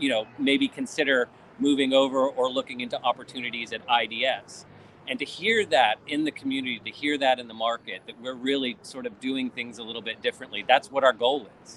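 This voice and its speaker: A man at a fairly quick pace, fairly even in intonation, with big swings in loudness and noticeable background noise. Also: medium pitch for a man. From Vermont, US. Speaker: e-discovery consultant. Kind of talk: casual chat.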